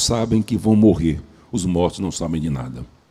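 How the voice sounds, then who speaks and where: Using lively intonation at a moderate pace, a man speaks in a dark, mellow tone with vocal fry. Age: 70s. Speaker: preacher. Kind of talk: sermon.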